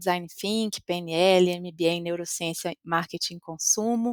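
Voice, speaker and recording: In a very clean recording with a silent background and a dry, close sound with no echo, a woman with a Minas Gerais accent speaks at a moderate pace, medium in pitch, with fairly even intonation. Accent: Minas Gerais Brazilian Portuguese. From Brazil, Minas Gerais (interior). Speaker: customer experience executive. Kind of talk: podcast interview.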